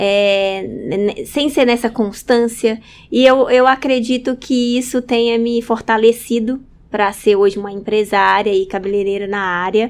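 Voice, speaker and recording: Her fairly high-pitched voice shows ordinary pitch variation as this woman speaks. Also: fairly slow pace. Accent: northern Minas Gerais. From northern Minas Gerais, Brazil (Montes Claros region). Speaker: hairdresser. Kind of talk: interview conversation. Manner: halting, many fillers.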